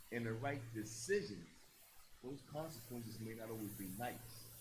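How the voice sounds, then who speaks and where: Audible room echo surrounds a man with medium pitch and vocal fry. His pace is moderate, his pitch variation ordinary. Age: 60s. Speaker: former prisoner turned youth mentor. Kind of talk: panel discussion. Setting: stage with audience.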